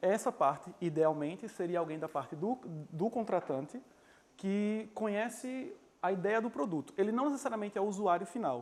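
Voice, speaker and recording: A man's voice sits high in pitch. The intonation rises and falls in a lively way. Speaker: software developer giving a talk. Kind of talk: presentation talk. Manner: fast; hesitant, many fillers.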